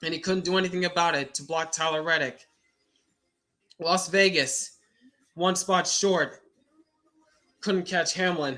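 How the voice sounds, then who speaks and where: Speaking at a fairly slow pace with long, frequent pauses, a man with a high pitch keeps his intonation fairly even. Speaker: live race reaction streamer. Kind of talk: live reaction commentary. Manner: halting, repeats words.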